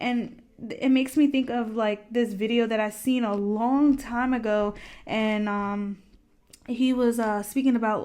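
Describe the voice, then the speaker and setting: She has an unremarkable speaking voice, a woman's, fairly high in pitch. Her intonation stays fairly even and her pace is fairly slow. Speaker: tarot card reader. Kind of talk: pick-a-card tarot reading. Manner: casual, conversational.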